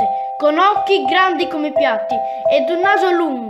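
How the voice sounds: The voice heard is a natural reading voice. It stays that way from start to finish.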